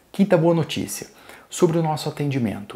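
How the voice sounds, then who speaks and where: A man's dark, mellow tone carries noticeable vocal fry. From Brazil. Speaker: toy store seller. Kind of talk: sales pitch. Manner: formal; upbeat. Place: studio. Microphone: lapel.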